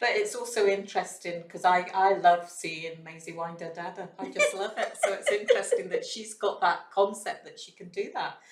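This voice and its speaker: A woman with a Scottish accent talks at a moderate pace with hardly any pauses. Her loudness swings widely, and background noise is noticeable. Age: 60s. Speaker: early years educator. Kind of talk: casual chat.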